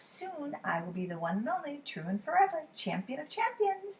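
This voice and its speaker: A put-on character voice with very wide pitch swings comes at a moderate pace. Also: woman, high pitch for a woman. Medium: read story. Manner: boastful, eager.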